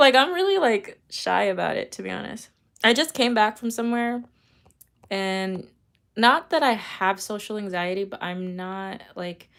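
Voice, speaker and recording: Over a very clean recording with a silent background, a woman with a fairly high pitch speaks at a moderate pace, her intonation lively and her loudness swinging widely. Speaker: tarot reader. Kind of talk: live stream chat. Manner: casual, rambling with fillers.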